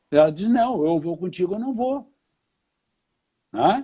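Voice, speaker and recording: The tone of this man's voice is dark and mellow. His pitch moves in very wide swings. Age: 60s. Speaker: lawyer and law professor. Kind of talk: casual interview chat. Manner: animated.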